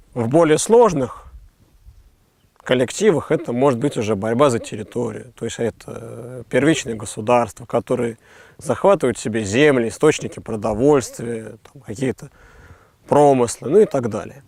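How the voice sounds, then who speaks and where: A man speaks at a moderate pace and a medium pitch. He uses ordinary pitch variation and takes long, frequent pauses. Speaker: philosopher. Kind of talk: explanatory philosophical conversation.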